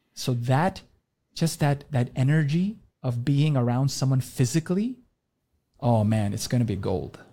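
A man at medium pitch speaks at a fairly slow pace with lively intonation, a somewhat breathy, dark and mellow tone, and long, frequent pauses. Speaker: doctor and supplement company founder. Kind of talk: podcast interview. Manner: repetitive stammering.

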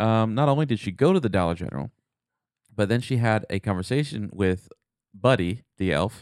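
Lively intonation and long, frequent pauses mark this moderately paced speech, captured in a very clean recording with a silent background. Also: man. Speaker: podcast co-host. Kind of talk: casual chat. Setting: studio. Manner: animated.

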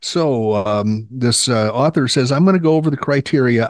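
A man speaks in a normal speaking voice at a fairly quick pace. His pitch variation is ordinary, and the background is quiet. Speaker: Medicare podcast host and author. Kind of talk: casual chat. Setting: video call. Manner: humorous, playful.

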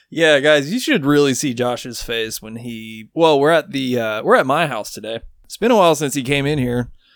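With a normal speaking voice and fairly high pitch, a man talks at a moderate pace with hardly any pauses, ordinary pitch variation, and big swings in loudness, on a very clean recording with a silent background. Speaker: podcast co-host. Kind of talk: casual chat.

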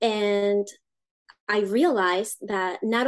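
With a Spanish accent, a woman speaks at medium pitch and with fairly even intonation. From Uruguay. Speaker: education founder, homeschool mother. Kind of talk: interview.

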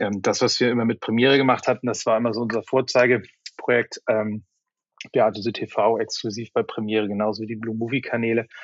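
A man at a medium pitch, talking at a very fast pace in a monotone, flat intonation. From northern Germany, Flensburg. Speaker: media company executive. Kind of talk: interview. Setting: remote call. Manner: halting, many fillers.

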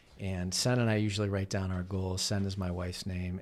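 A plain, everyday voice talks at a moderate pace. The recording is very clean, with a silent background. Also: man. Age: 40s. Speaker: author and keynote speaker. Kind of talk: casual chat.

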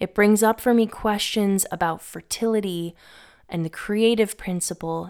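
A woman with a normal speaking voice talks at a fairly slow pace with fairly even intonation. The recording is very clean, with a silent background. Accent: American. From Massachusetts, Northeast US. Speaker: podcast host on mythology and herbalism. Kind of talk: scripted narration.

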